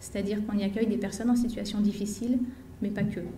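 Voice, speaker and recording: A woman speaks in a flat monotone at a fairly high pitch. Audible room echo surrounds her voice. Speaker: equine therapist and association founder. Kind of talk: conference talk.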